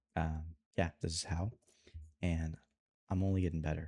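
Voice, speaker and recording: Speaking at a fairly quick pace, a man with a very deep, low pitch and a dark, mellow tone sounds somewhat breathy in a dry, close recording with no echo and a very clean, silent background. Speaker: video creator and animator vlogger. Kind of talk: casual vlog tutorial. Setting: alone in his room at night. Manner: soft-spoken, quiet.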